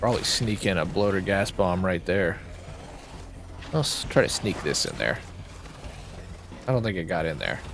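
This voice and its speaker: A man with a very deep, low pitch talks at a moderate pace, leaving long, frequent pauses and showing ordinary pitch variation. Noticeable background noise and audible room echo surround him. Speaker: gaming streamer. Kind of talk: gameplay commentary. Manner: casual, conversational.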